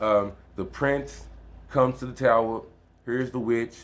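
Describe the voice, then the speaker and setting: Fairly even intonation from a man, pitched in the medium range. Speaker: video creator on occult and self-help books. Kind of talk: casual book talk video. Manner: fast; casual, conversational.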